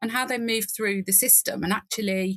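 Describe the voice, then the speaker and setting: A woman's medium-pitched voice with a British accent, bright and sharp in tone, with ordinary pitch variation and a dry, close sound with no echo. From England. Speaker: nurse and nursing informatics leader. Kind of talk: podcast interview. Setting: remote call from garden reading nook.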